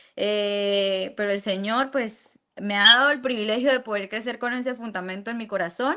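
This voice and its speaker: This voice has a Santander Colombian accent and a bright, sharp tone with ordinary pitch variation. It moves at a fairly slow pace on a very clean recording with a silent background. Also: woman. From Venezuela. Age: 20s.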